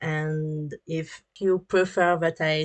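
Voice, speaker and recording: With a French accent, a woman speaks in a very deep, low pitch and fairly even intonation over a quiet background. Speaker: 3D artist and animator. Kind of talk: tutorial. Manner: halting, many fillers.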